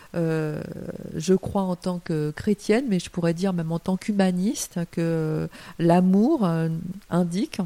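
Her pace very slow, a woman speaks with fairly low pitch. Her tone is dark and mellow. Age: 50s. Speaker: writer. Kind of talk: interview. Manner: hesitant with fillers.

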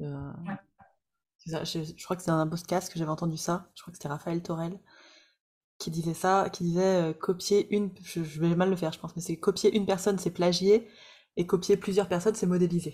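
A woman speaks at a moderate pace in a fairly low, somewhat breathy voice with a dark, mellow tone and flat, monotone intonation, leaving long, frequent pauses, on a very clean recording with a silent background. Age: 30s. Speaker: podcast host and coach for practitioners. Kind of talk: interview.

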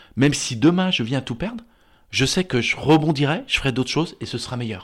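A man speaks at a fairly quick pace, captured in a very clean recording with a silent background. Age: 50s. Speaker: therapist. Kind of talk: casual chat.

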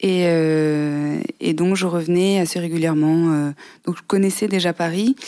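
A woman's dark, mellow tone, fairly low in pitch with fairly even intonation, in a very clean recording with a silent background. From southern France, near Aix-en-Provence. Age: 20s. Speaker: podcast guest. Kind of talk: interview.

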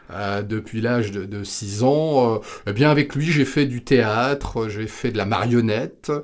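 The recording is very clean, with a silent background. A man with medium pitch talks at a fairly slow pace, his pitch varying in an ordinary way. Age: 50s. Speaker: sales trainer. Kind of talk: interview. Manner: hesitant, with many fillers.

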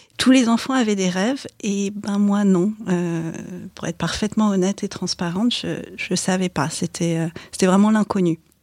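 Speaking at a moderate pace with long, frequent pauses, a woman uses a medium pitch and ordinary pitch variation, and the sound is dry and close with no echo. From Paris suburbs, France. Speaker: corporate lawyer. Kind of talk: interview.

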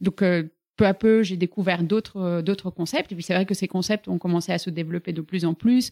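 A woman with a fairly low pitch and a dark, mellow tone talks at a moderate pace with fairly even intonation, recorded very cleanly against a silent background with a dry, close sound and no echo. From Bulgaria. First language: Bulgarian (speaking French). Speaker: fitness studio founder. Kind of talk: casual interview. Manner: hesitant, many fillers.

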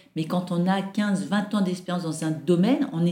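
There is noticeable background noise behind this woman. She speaks at a moderate pace with a medium pitch and ordinary pitch variation. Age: 50s. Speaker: airline employee. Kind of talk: interview. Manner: hesitant, many fillers.

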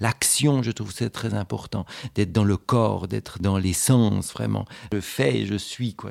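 The speaker uses vocal fry and ordinary pitch variation at a moderate pace, on a very clean recording with a silent background. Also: man. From Switzerland, canton of Fribourg. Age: 40s. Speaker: independent gallery owner. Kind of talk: interview. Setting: at his home. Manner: hesitant, frequent fillers and repetitions.

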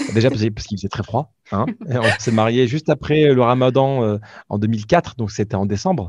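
A man uses an ordinary speaking voice at medium pitch, with ordinary pitch variation and a moderate pace. The sound is dry and close with no echo, over a quiet background. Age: 30s. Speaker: regional manager and podcaster. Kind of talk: interview.

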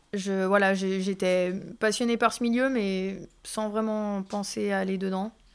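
A woman speaks at a very slow pace in a medium pitch, her intonation monotone and flat. The recording is very clean, with a silent background. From Thonon-les-Bains, Haute-Savoie, France. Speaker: tattoo artist. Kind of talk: interview. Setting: tattoo studio.

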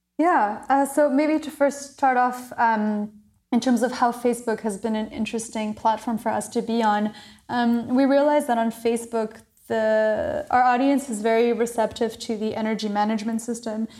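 A woman with an American accent and a plain, everyday voice speaks at a fairly high pitch and a moderate pace, with fairly even intonation, on a very clean recording with a silent background. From Maryland, US (French international school). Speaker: hydrogen startup founder. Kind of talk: interview.

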